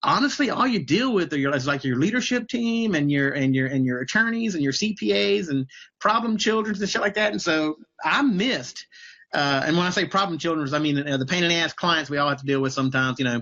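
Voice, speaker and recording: With a Southern US accent, a man races along at a very fast pace, his pitch swinging very widely. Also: fairly high pitch for a man. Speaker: business coach. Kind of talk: casual interview on a livestream. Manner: casual, many fillers and repetitions.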